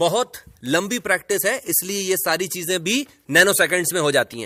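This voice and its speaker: Projected and raised, a man's high-pitched voice comes through bright and sharp, dry and close with no echo, on a very clean recording with a silent background. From India, Hindi-speaking. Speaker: English teacher. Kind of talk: tutorial.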